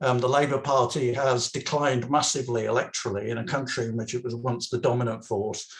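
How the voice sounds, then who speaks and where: A man's medium-pitched, somewhat breathy voice with an English accent, fairly even intonation at a fairly quick pace. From England. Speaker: political activist. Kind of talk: political talk at online meeting. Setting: video call. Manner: halting, many fillers and restarts.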